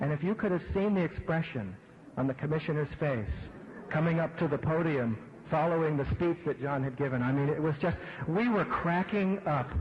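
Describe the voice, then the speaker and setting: A man with an American accent, fairly high-pitched, very even in loudness, ordinary pitch variation, a fairly quick pace, and noticeable background noise. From Pittsburgh, Pennsylvania. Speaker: event host introducing speaker. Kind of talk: anecdote introduction.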